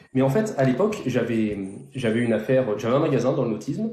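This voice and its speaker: A man's medium-pitched voice with very wide pitch swings and audible room echo. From southern France, near Toulon. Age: 30s. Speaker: real estate investor. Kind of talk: interview on a live stream. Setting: live stream.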